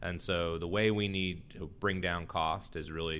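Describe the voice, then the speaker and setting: A very deep, low-pitched male voice with an American accent and ordinary pitch variation. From Texas. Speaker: health insurance executive and physician. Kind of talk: interview.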